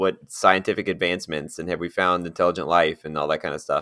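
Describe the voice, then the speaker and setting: Over a silent background in a very clean recording, a man speaks at a very fast pace with ordinary pitch variation. His very deep, low voice has a bright, sharp tone. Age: 40s. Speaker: podcast co-host. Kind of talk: casual chat.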